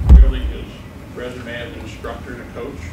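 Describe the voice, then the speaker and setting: A man speaks over loud background noise. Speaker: associate head coach introducing the speaker. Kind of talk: formal introduction of a speaker. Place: meeting room. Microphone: camera far.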